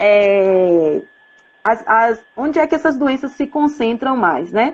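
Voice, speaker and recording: This woman's intonation is lively. She talks with a fairly high pitch. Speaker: professor and public health researcher. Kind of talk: live-stream lecture. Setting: Instagram live video. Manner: hesitant, many fillers.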